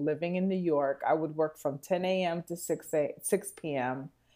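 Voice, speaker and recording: Over a quiet background, a woman speaks at a fairly slow pace. She has an ordinary speaking voice, pitched fairly low, with ordinary pitch variation. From Texas (Houston). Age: 40s. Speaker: improv theater director. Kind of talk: casual chat. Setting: studio.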